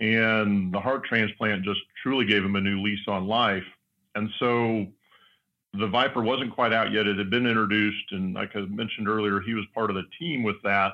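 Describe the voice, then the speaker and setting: A man with a plain, everyday voice and fairly low pitch talks at a moderate pace, keeping his intonation fairly even. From US West (Southern California). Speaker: car company board member. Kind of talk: casual interview. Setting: studio.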